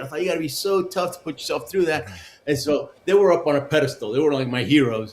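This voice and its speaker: Over noticeable background noise, a man with a Spanish accent talks at a very fast pace with lively intonation. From Argentina, then Houston, Texas. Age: 60s. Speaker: Olympic luge athlete and motivational speaker. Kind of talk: interview, life story. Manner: animated, with frequent fillers.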